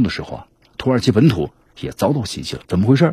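Very fast and somewhat breathy, a man speaks with a dark, mellow tone. His pitch swings very widely. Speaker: news commentary show host. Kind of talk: news commentary monologue. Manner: animated, conversational with many fillers.

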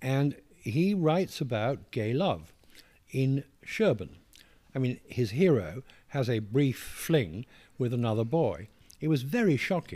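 In a very clean recording with a silent background, a man with a dark, mellow tone at medium pitch speaks at a fairly slow pace, his pitch swinging very widely, with long, frequent pauses. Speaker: author reading own memoir. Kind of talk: interview with reading aloud from book.

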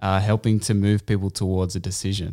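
Against a silent background in a very clean recording, a man speaks at a fairly quick pace. His pitch is fairly low and his intonation monotone and flat. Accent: Australian. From Australia, Canberra. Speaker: podcast host and poet. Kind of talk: casual interview. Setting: home studio.

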